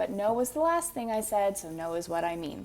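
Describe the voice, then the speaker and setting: A woman speaks in a Manitoba accent with ordinary pitch variation. Music plays in the background. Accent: Manitoba Canadian. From Manitoba, Canada. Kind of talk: casual talk to camera.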